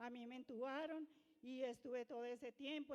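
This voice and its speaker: Her voice is high-pitched, and she keeps a moderate pace. The woman's intonation stays fairly even. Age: 60s. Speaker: churchgoer giving testimony. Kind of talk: testimony.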